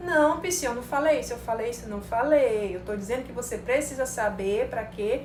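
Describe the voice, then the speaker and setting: A woman speaks at a moderate pace in a high pitch with lively intonation and an animated tone, her loudness swinging widely amid audible room echo and noticeable background noise. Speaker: psychologist teaching marketing to psychologists. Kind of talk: live-streamed online class. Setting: live stream.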